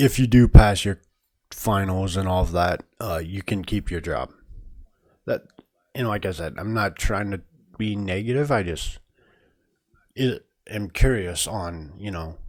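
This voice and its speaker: A man's fairly low voice at a fairly slow pace, with ordinary pitch variation, big swings in loudness and long, frequent pauses, on a very clean recording with a silent background. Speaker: video game streamer. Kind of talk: casual live stream chat. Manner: hesitant, many fillers.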